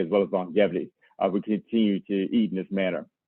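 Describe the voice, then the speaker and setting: A man with an American accent. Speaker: farmer. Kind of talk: lecture. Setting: video call. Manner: fast.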